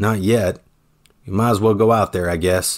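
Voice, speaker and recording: Using a raspy, put-on character voice, a man speaks at a fairly low pitch and a moderate pace with fairly even intonation. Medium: read story. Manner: tight, exasperated.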